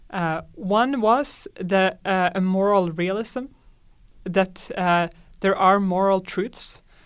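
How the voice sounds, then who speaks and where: On a very clean recording with a silent background, a woman of medium pitch speaks with a Swedish accent. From Sweden. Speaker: astronomy professor. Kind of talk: interview.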